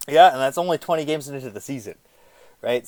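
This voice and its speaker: A man speaks in an animated tone with ordinary pitch variation. The recording is very clean, with a silent background. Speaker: hockey podcast host. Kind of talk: casual chat. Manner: loud.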